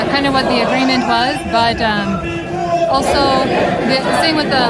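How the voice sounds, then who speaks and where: Over crowd noise in the background, a woman talks at a moderate pace. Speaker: travel vlogger. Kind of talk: casual vlog chat. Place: street. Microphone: phone near.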